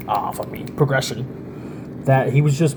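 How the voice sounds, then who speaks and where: The speaker's tone is animated, at a fairly slow pace. Noticeable background noise runs underneath. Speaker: music reviewer. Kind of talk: casual chat.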